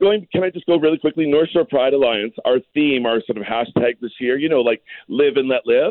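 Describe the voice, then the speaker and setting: With a Canadian accent, a man talks at a fairly quick pace in a fairly high pitch, his intonation lively. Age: 50s. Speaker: drag queen and activist. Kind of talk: radio interview. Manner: animated.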